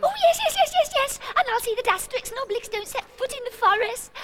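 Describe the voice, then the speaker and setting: Putting on a squeaky character voice with an extremely high pitch, a woman rattles along at a very fast pace with ordinary pitch variation and big swings in loudness. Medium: cartoon. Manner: gushing, insistent.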